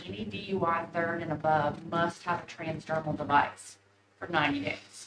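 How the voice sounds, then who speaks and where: A woman with an East Tennessee accent talks at a fairly low pitch. Noticeable background noise runs behind her. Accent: East Tennessee Southern US. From East Tennessee, Knoxville. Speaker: monitoring program representative. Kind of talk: presentation to county commission. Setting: county commission meeting. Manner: fast.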